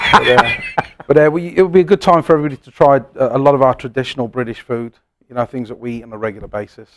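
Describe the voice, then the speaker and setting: In an English accent, a man of medium pitch talks at a very fast pace, with ordinary pitch variation and big swings in loudness. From England, Coventry. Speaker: pub owner and former chef. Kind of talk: casual interview.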